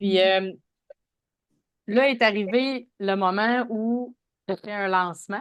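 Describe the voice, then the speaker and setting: Speech unfolds very slowly. Its pitch moves in an ordinary way. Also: woman. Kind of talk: interviewer.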